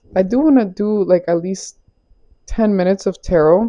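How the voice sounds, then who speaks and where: At a moderate pace, a woman speaks with lively intonation at a medium pitch. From Florida, US, Caribbean background. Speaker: tarot reader. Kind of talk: tarot reading. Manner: casual, chatty.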